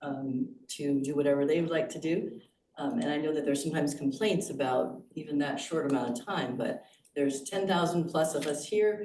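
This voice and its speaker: A woman's very deep, low voice at a fairly quick pace, with audible room echo. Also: ordinary pitch variation. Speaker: resident speaking at public comment. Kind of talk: public comment at committee meeting. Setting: boardroom meeting.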